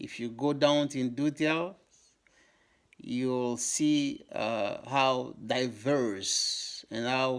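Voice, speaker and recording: A man with a Congolese accent at medium pitch, very slow, on a very clean recording with a silent background. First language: Lingala. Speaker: YouTuber on African history. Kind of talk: educational talk to camera. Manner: halting, many fillers.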